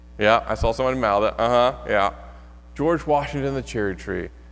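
A man talks with music in the background. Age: 30s. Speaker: pastor. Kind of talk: sermon. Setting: church. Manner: casual, humorous delivery.

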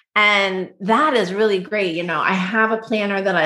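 A woman speaks at a moderate pace with a bright, sharp tone. Her pitch varies in an ordinary way. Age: 40s. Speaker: professional organizer. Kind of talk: casual interview. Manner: animated.

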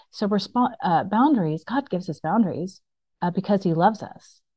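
This woman has an unremarkable speaking voice. She talks at a moderate pace with ordinary pitch variation. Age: 40s. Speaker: storyteller sharing her life testimony. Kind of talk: testimony.

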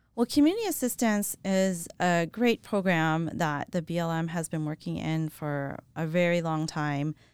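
This plain, everyday voice with an American accent keeps a moderate pace with hardly any pauses and ordinary pitch variation, captured in a very clean recording with a silent background. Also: woman, fairly low pitch for a woman. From US South, New Orleans, Louisiana. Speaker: federal wildland fire manager. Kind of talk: interview.

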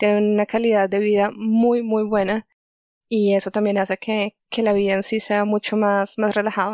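A woman at a medium pitch talks in a flat monotone with very even loudness. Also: moderate pace. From Colombia, Chía near Bogotá. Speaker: geoscience researcher. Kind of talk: interview.

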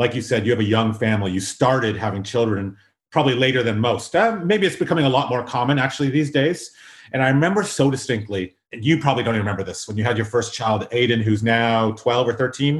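A man's medium-pitched, somewhat breathy voice with a Canadian accent, very fast pace and ordinary pitch variation. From South Africa, Durban; raised in Canada. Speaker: podcast host. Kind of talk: casual interview.

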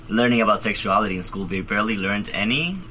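A man with a fairly low voice talks against noticeable background noise and audible room echo. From Spain, Madrid. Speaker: college student. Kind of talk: casual chat.

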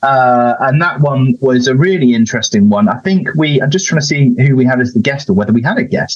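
In an ordinary speaking voice, a man talks at a fairly quick pace with a fairly high pitch, lively intonation, very even loudness and hardly any pauses. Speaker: health commissioner and podcast producer. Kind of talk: casual panel chat.

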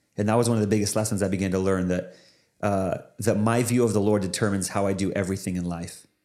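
In an American accent, a man talks at a very fast pace in a fairly low pitch with a dark, mellow tone. His intonation is monotone and flat, and there is audible room echo. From US Pacific Northwest. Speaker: pastor and former Bible college director. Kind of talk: casual interview.

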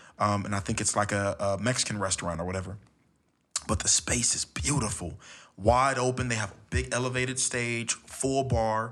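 A man with an American accent and a normal speaking voice talks at a moderate pace, with a medium pitch and ordinary pitch variation. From Los Angeles, California. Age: 20s. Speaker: spoken word poet. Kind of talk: casual chat. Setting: home studio.

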